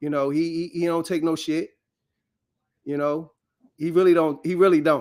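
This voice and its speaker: Recorded very cleanly against a silent background, a man speaks at a fairly high pitch with a slight DC accent. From Washington DC. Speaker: actor. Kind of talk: casual interview. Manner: halting, repeats words.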